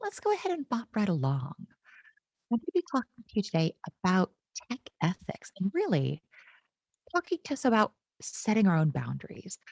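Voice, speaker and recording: A woman with an American accent talks at a moderate pace in a medium-pitched, somewhat breathy voice with a dark, mellow tone, recorded dry and close with no echo. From United States. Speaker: tech consultant, conference keynote speaker. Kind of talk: conference keynote talk. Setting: online conference. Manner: animated, casual and jokey.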